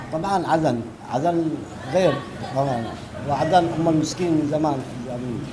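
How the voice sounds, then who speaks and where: Moderately paced speech with long, frequent pauses and ordinary pitch variation, plus audible room echo and noticeable background noise. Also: man, fairly high pitch for a man. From Yemen, Aden. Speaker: passerby interviewee. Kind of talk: street interview.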